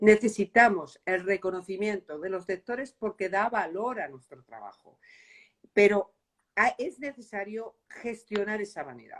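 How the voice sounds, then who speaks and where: In an ordinary speaking voice, a woman talks at a fairly slow pace with medium pitch, ordinary pitch variation and big swings in loudness, in a dry, close sound with no echo. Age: 60s. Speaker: novelist. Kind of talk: interview. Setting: book fair.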